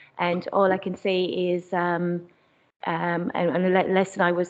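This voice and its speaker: In an Irish accent, a woman speaks with a fairly low pitch and a monotone, flat intonation. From Ireland. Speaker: community charity worker. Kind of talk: panel talk. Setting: council chamber meeting. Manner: halting.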